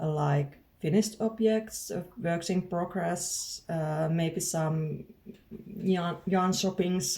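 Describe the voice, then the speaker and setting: In a Finnish accent, a woman speaks very slowly at a fairly low pitch, her tone dark and mellow, somewhat breathy, with fairly even intonation. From southern Finland. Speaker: knitting podcaster. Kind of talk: casual podcast monologue. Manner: halting, with frequent fillers and word searching.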